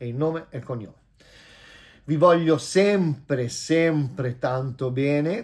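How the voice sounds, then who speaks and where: In a quiet background, a man with a fairly high pitch speaks in an animated tone at a fairly slow pace, with ordinary pitch variation, big swings in loudness, and long, frequent pauses. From Italy. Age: 50s. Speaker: vlogger and businessman; vlogger. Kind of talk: casual vlog monologue. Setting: at home. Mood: warm, self-assured. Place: home room. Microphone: phone near.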